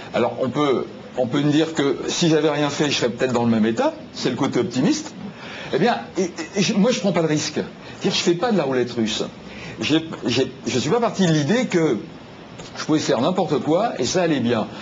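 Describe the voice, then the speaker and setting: A man talks at a fairly quick pace with a fairly high pitch, very wide pitch swings, very even loudness and long, frequent pauses, amid audible room echo and noticeable background noise. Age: 60s. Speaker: health talk show guest. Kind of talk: TV talk show discussion.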